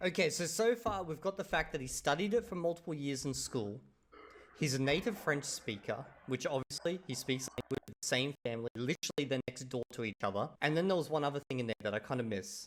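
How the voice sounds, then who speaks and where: A man with a normal speaking voice talks at a fairly high pitch and fairly quick pace, with lively intonation and a dry, close sound with no echo. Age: 30s. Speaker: YouTuber reacting to videos. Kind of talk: reaction video commentary. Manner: casual.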